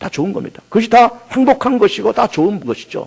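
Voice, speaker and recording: Male voice with lively intonation. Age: 50s. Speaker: pastor. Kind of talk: sermon.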